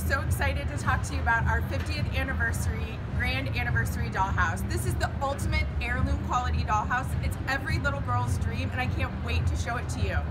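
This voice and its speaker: Music plays in the background as a woman talks. She goes at a fairly quick pace with hardly any pauses. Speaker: presenter. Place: hall. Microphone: phone near.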